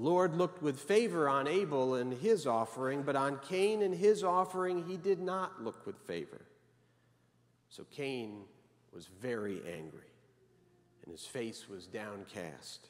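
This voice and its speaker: Very wide pitch swings mark this man's speech. He talks at a fairly slow pace. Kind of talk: sermon. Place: church. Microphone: podium.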